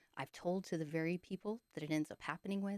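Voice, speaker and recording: A woman speaks quietly with a fairly low pitch. The sound is dry and close, with no echo. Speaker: video blogger sharing dreams. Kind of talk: casual monologue. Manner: quiet, hushed; hesitant, many fillers.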